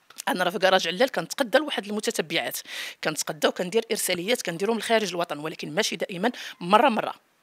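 Against a quiet background, a woman talks at a very fast pace in a medium pitch with lively intonation. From Morocco. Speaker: home cook and YouTuber; YouTuber. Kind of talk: interview. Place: home room. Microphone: handheld.

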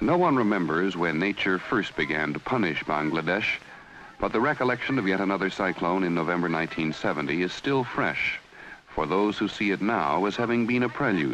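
A man's very deep, low voice at a moderate pace, with lively intonation and very even loudness, against noticeable background noise. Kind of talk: 1970s TV documentary narration, solemn and measured network news delivery. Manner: grave, formal, measured.

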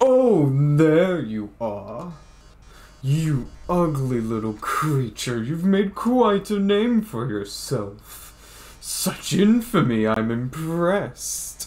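A man's put-on character voice, fairly high in pitch, swinging very widely, at a very slow pace. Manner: flamboyant, theatrical.

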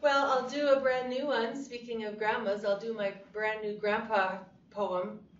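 A woman's fairly high voice, fairly slow and fairly even in intonation, with noticeable background noise. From Canada. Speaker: cowboy poet. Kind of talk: interview answer.

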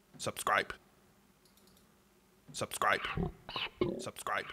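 Someone whispers. It's a put-on character voice. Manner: terrifying.

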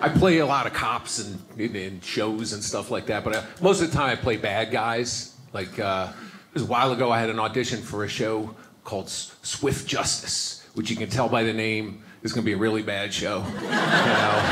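With music in the background, a man talks with ordinary pitch variation and hardly any pauses. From New York. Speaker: stand-up comedian. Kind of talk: stand-up comedy routine to a live audience. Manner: conversational, storytelling, fast-paced. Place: stage. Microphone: handheld.

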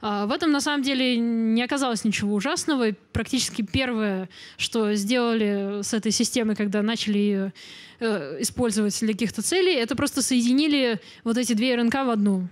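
A normal speaking voice from a woman, fairly high in pitch, at a moderate pace with ordinary pitch variation, against a quiet background. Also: very even loudness. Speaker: biology lecturer, genetics graduate student; biology lecturer. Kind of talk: popular science lecture. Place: hall. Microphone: handheld.

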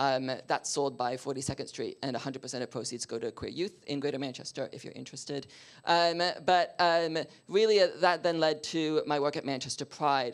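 A man with a Canadian accent and a plain, everyday voice, fairly high in pitch with ordinary pitch variation, at a moderate pace over a quiet background. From Canada. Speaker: diversity and inclusion consultant; speaker. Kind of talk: panel discussion. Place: meeting room.

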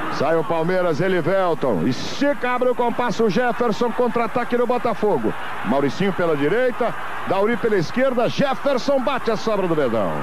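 A high-pitched male voice at very even loudness, with noticeable background noise and audible room echo. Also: lively intonation, moderate pace. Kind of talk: live commentary.

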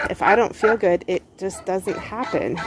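Over light background noise, a woman talks at a fairly slow pace in a dry sound with no echo. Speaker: home gardener vlogger. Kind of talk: casual vlog chat. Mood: relaxed, a bit weary. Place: garden. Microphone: phone near.

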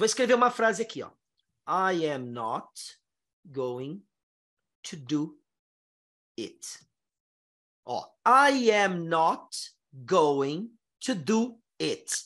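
The voice is bright and sharp, with very wide pitch swings and big swings in loudness. It moves very slowly with long, frequent pauses against a quiet background. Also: man, high pitch for a man. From Brazil. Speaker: English teacher. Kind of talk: online lesson. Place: home room. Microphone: headset.

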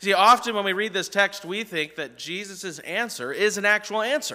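Bright, sharp tone from a male speaker. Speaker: pastor. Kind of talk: sermon. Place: church.

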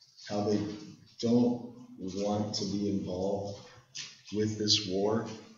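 A man's fairly low voice with monotone, flat intonation at a very slow pace, amid audible room echo and noticeable background noise. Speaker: history teacher. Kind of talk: lecture. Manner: casual, conversational.

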